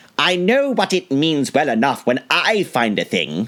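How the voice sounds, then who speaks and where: At a moderate pace, a man uses a put-on character voice pitched fairly high. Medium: read story.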